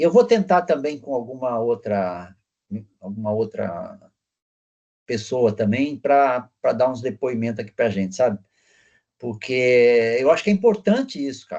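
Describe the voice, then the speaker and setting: A man speaks at a medium pitch with a dark, mellow tone and lively intonation. His pace is fairly slow, broken by long, frequent pauses. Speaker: teacher. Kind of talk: casual discussion at end of online class.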